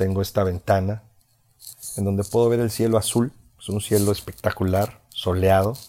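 On a very clean recording with a silent background, a man speaks at a moderate pace in a fairly low pitch, his tone dark and mellow and his intonation fairly even. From Mexico, Veracruz. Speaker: podcaster, former radio announcer. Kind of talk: motivational monologue. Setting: lying in bed at home.

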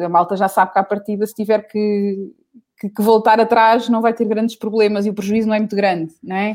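On a very clean recording with a silent background, a woman speaks at a fairly quick pace with a fairly high pitch. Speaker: singer. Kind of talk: casual chat. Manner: animated.

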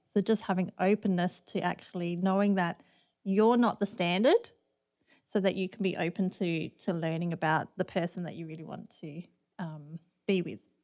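On a very clean recording with a silent background, a woman with an Australian accent speaks at a medium pitch and moderate pace with fairly even intonation. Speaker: campus pastor. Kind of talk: casual chat.

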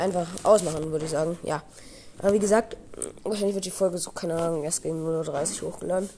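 Here a woman talks very fast at a fairly low pitch. Her intonation stays fairly even. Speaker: podcast host. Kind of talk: casual monologue.

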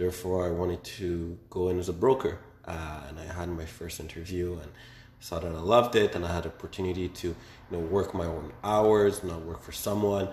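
Somewhat breathy, a man with a very deep, low pitch speaks at a fairly quick pace, his intonation fairly even but his loudness swinging widely. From Quebec, Montreal. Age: 20s. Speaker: young entrepreneur. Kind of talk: casual interview.

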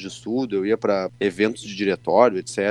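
A man with a southern Brazilian accent at a fairly quick pace with ordinary pitch variation, dry and close with no echo. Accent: southern Brazilian (gaúcho) Portuguese. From Rio Grande do Sul, Santa Maria. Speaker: state deputy and lawyer. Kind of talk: interview. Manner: casual, hesitant fillers.

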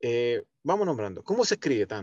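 A man talks at a fairly quick pace. The sound is dry and close with no echo. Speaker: event producer. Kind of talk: casual interview. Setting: podcast recording.

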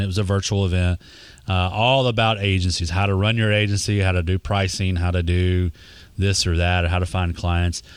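The speaker has a Texas accent. The intonation is monotone and flat. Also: man. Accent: Texas Southern US. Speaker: social media marketing expert. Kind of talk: casual interview chat.

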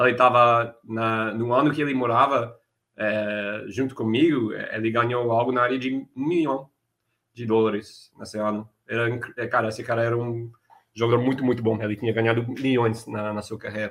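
This man's voice sits at a medium pitch. He keeps a moderate pace with monotone, flat intonation. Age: 30s. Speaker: poker player and coach. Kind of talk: interview. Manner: halting.

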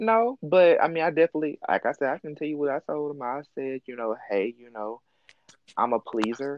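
Fairly high-pitched and fairly quick, a man with a slight Southern US accent talks with lively intonation and big swings in loudness. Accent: mild Southern US. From US South, Mississippi. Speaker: podcast host. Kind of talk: casual chat.

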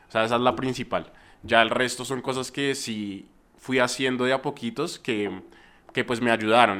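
In a very clean recording with a silent background, a man speaks in a plain, everyday voice. His pitch is medium, his intonation fairly even and his pace moderate. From Colombia, Bogotá. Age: young. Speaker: YouTuber, music reviewer. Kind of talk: casual interview.

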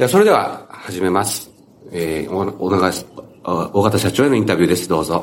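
The speaker has an Okinawan accent and ordinary pitch variation. The pace is moderate. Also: man, very deep, low pitch for a man. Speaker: newspaper editor, podcast host. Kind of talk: interview; casual chat.

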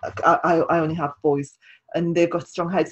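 A woman's fairly low, somewhat breathy voice, flat and monotone, in a dry, close sound with no echo. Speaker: podcast host. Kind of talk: casual interview chat.

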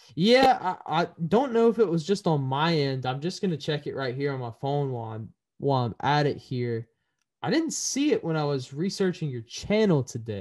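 At a moderate pace, a man talks in a fairly high pitch with very wide pitch swings over a quiet background. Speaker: podcast host. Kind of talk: casual interview. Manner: halting.

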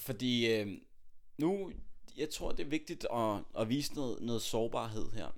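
In a room with audible echo, a man with a medium-pitched voice and lively intonation speaks at a very slow pace. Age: 20s. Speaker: podcast host, aspiring public speaker. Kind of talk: casual chat. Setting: home, on a sofa.

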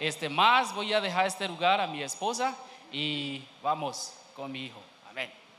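Amid noticeable background noise and audible room echo, a man with a non-native accent and a fairly high pitch speaks at a fairly slow pace, with lively intonation and big swings in loudness. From Kenya. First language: not Spanish (speaking Spanish). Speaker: missionary. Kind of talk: church testimony. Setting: church. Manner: halting.

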